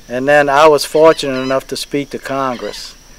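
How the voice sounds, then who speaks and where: Noticeable background noise behind a man's fairly high voice. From Louisiana, Plaquemines Parish. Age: 60s. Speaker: shrimp fisherman. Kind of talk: interview testimony. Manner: halting, many fillers.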